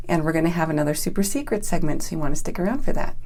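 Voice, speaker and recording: Lively intonation from a woman with a dark, mellow tone, in a room with audible echo. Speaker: raw vegan health coach. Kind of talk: online training video. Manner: fast; animated.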